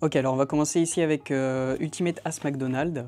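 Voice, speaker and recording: Speaking at a fairly quick pace, a man with a fairly high pitch and ordinary pitch variation is heard over noticeable background noise. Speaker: magic shop presenter. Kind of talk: product unboxing video. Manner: hesitant, many fillers.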